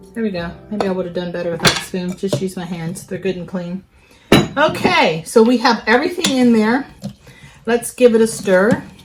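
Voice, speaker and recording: Over noticeable background noise, a woman with a medium-pitched voice speaks at a moderate pace, with ordinary pitch variation and big swings in loudness. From West Virginia, US. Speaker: nurse and cooking video host. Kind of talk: cooking tutorial. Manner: casual, chatty.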